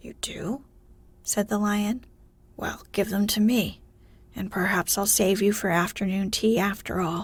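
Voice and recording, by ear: A passage is read out in a natural voice.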